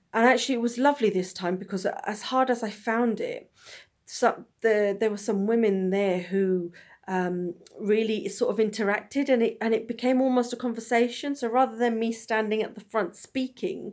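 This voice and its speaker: On a very clean recording with a silent background, a woman speaks at a fairly high pitch. She keeps a moderate pace with ordinary pitch variation. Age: 30s. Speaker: vlogger and festival host. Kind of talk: personal video monologue. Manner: rambling, halting with restarts.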